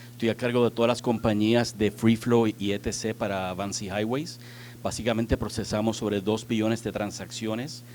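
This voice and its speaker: In a non-native accent, a man talks at a moderate pace and medium pitch with monotone, flat intonation. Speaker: transport technology executive. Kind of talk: conference panel talk. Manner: halting, many fillers.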